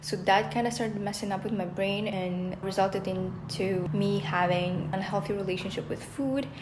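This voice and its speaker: A woman speaks at a moderate pace and medium pitch, with ordinary pitch variation and hardly any pauses. Audible room echo and noticeable background noise fill the recording. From Russia. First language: Russian. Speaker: vlogger, former chef. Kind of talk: casual vlog talk.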